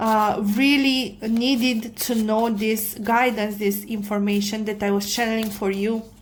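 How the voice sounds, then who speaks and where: A woman with a non-native accent speaks in a fairly high pitch, with audible room echo around her. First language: not English. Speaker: tarot reader. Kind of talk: tarot reading monologue. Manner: halting, many fillers.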